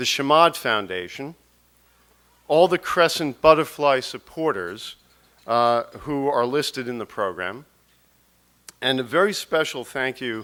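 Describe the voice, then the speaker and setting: A man with an American accent speaks fairly slowly at a medium pitch, his tone bright and sharp, with long, frequent pauses. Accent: New York, strong when speaking publicly. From New York. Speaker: documentary producer and charity board chair. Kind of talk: speech. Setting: stage with audience. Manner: halting, repeats words.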